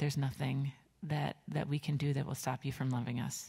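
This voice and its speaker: A woman's somewhat breathy voice, fairly even in intonation, over a quiet background. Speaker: pastor leading a children's message. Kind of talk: sermon. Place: church.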